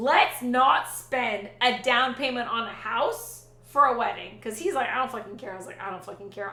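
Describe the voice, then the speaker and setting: A woman talks loudly at a high pitch with ordinary pitch variation. Noticeable background noise and audible room echo surround her voice. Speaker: Twitch streamer. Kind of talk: casual chat. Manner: animated.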